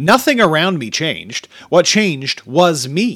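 The recording is very clean, with a silent background. A man talks at a moderate pace with a fairly high pitch and very wide pitch swings. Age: 30s. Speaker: podcast host and author. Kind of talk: reading aloud. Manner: casual.

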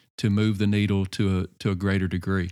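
A man speaks at a moderate pace in an unremarkable speaking voice. His pitch is fairly low, and the recording is very clean with a silent background. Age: 40s. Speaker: pastor and leadership coach. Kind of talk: casual interview.

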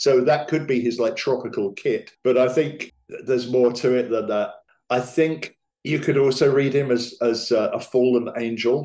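Medium pitch and a dark, mellow tone in a man's voice. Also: fairly even intonation, moderate pace, very even loudness. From England. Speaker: magician and theatre writer. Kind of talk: casual chat.

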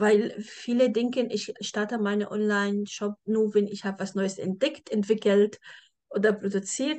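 A woman speaks at a fairly slow pace with a non-native accent. Her pitch is fairly high and her intonation fairly even. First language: not German (speaking German). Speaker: podcast host, e-commerce agency owner. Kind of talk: podcast interview.

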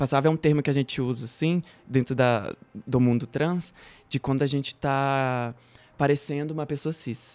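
In a very clean recording with a silent background, a man with an unremarkable speaking voice talks at a moderate pace, with a fairly high pitch and fairly even intonation. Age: 20s. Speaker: activist, actress and law student. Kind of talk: casual chat.

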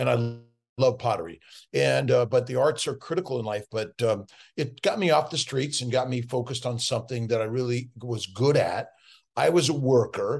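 Over a quiet background, a man with an American accent and a medium, somewhat breathy voice speaks at a moderate pace with ordinary pitch variation. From Los Angeles, US West Coast. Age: 60s. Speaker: physician. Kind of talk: interview.

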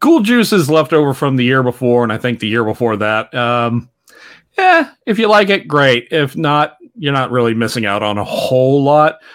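A man talks in a plain, everyday voice at a medium pitch. His intonation is lively and his pace is moderate. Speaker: podcast host guest. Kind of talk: casual chat.

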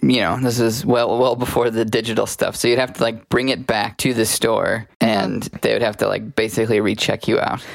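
In an ordinary speaking voice, a man at medium pitch talks at a fairly quick pace with hardly any pauses and fairly even intonation. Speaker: podcast co-host. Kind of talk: casual chat.

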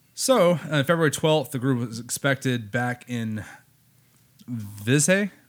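On a very clean recording with a silent background, a man speaks very slowly at a medium pitch with lively intonation. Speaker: podcast host. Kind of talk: casual chat. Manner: joking.

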